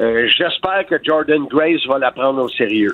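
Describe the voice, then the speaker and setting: The speech moves at a very slow pace with ordinary pitch variation. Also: man. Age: 60s. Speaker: wrestling commentator and author. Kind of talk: interview. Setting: phone call.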